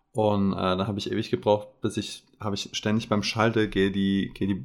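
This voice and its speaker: The recording is very clean, with a silent background. A man speaks in a plain, everyday voice at a fairly low pitch with fairly even intonation. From Saarland. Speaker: podcast co-host. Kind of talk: casual chat.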